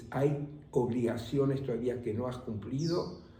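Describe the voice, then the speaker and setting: Speaking at a very slow pace, a man with a fairly high voice is heard over noticeable background noise. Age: 80s+. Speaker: meditation teacher; voice of Spanish course translations. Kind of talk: interview answer.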